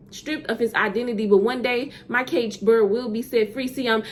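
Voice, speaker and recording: Through noticeable background noise, a woman with a Southern US accent speaks at a high pitch. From US South. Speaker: poet. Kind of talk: spoken word poetry. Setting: virtual summit.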